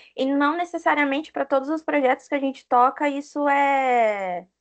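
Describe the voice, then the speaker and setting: A woman with an unremarkable speaking voice talks at a moderate pace. Her pitch varies in an ordinary way over a quiet background. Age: 30s. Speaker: software project manager. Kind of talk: interview.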